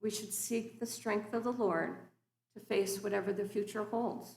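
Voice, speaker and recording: A woman talks at a moderate pace with vocal fry and monotone, flat intonation. Audible room echo is present. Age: 60s. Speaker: guest preacher. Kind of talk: sermon. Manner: formal.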